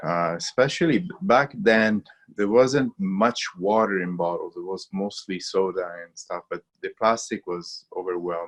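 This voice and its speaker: With an Italian accent, a man speaks over a quiet background. The sound is dry and close, with no echo. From Italy. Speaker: water filtration company founder. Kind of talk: webinar interview. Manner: halting, many fillers.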